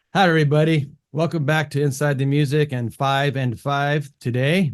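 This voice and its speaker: With a Californian accent, a man talks at a fairly high pitch. His pitch variation is ordinary. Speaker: music production channel host, interviewer. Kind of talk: casual interview. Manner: hesitant, many fillers.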